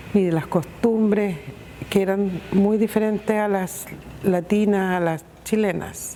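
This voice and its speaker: There is noticeable background noise as a woman talks at a very slow pace. Her pitch is medium and her intonation fairly even. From northern Chile, Iquique. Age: 60s. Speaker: migrant interviewee. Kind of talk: testimony.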